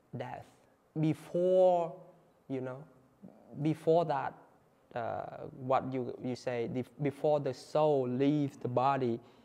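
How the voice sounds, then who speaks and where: The tone is dark and mellow, with a Vietnamese accent. Pitch variation is ordinary. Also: man. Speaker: Buddhist monk. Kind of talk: talk to an audience. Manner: halting, with fillers and repeats.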